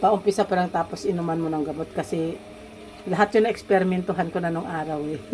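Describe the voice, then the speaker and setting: Against noticeable background noise, a woman speaks at a very fast pace with ordinary pitch variation. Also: fairly low pitch for a woman. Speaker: cooking vlogger. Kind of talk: cooking tutorial. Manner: casual.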